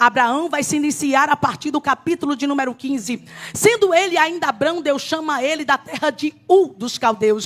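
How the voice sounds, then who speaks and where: The woman has a high voice and talks at a moderate pace. Her pitch varies in an ordinary way. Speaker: preacher. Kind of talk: sermon. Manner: animated.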